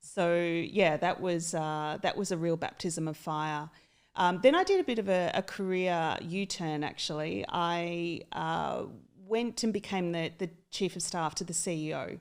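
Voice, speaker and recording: A woman's fairly low voice at a fairly slow pace, with fairly even intonation on a very clean recording with a silent background. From Australia, country town. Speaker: HR executive. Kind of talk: podcast interview. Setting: studio.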